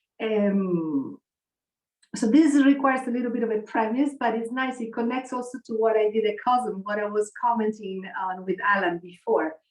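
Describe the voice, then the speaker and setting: Speech at a moderate pace comes in a normal speaking voice with ordinary pitch variation. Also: woman, fairly high pitch for a woman. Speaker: spiritual researcher and community ambassador. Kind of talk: online conference talk.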